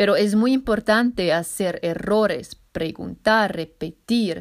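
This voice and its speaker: Her voice at a medium pitch, a woman talks at a very slow rate. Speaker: podcast host and language learner. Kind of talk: solo podcast monologue. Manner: halting, searching for words.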